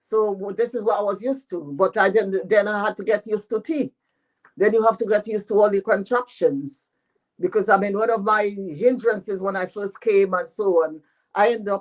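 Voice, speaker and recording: The speaker talks at a fairly quick pace with a French accent. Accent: French patois accent, still has it. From Dominica. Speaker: author. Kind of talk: radio interview.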